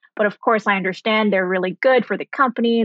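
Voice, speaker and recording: A woman's fairly even intonation over music in the background. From international upbringing (Saudi Arabia, Germany, Sri Lanka). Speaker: startup founder. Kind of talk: interview.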